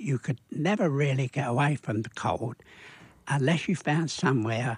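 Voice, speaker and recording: A man's somewhat breathy, medium-pitched voice at a moderate pace, with ordinary pitch variation and a dry, close sound free of echo. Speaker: war veteran. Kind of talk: radio interview answer. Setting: studio.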